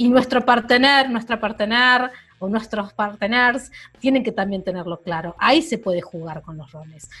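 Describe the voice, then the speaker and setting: A woman speaks at a moderate pace in a fairly high pitch with a bright, sharp tone. Her intonation is lively, and her loudness swings widely. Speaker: podcast co-host. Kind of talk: casual chat. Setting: at home, remote recording.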